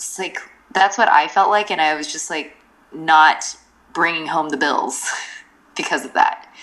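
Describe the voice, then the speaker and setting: A woman talks at a moderate pace. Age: 30s. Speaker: freelancer and entrepreneur. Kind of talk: interview conversation. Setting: remote call from overseas. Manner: hesitant with many fillers.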